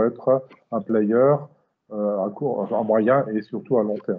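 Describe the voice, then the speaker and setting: This man has a normal speaking voice. He speaks at a medium pitch, and his intonation stays fairly even. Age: 60s. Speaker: company president, automotive supplier. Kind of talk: interview. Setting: video call.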